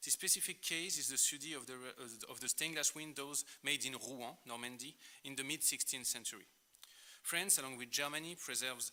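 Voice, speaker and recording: The voice has a bright, sharp tone, fairly even intonation and a French accent. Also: man. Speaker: art historian. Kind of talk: lecture. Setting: conference.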